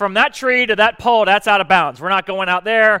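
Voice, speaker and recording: Very fast and raised, a man projects a high-pitched voice with a bright, sharp tone, the sound dry and close with no echo. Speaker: preacher. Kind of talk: sermon. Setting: church.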